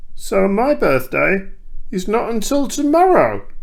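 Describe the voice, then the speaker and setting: Using a put-on character voice, a man pitches his words extremely high and delivers them at a fairly slow pace. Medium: read story. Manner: eager, simple.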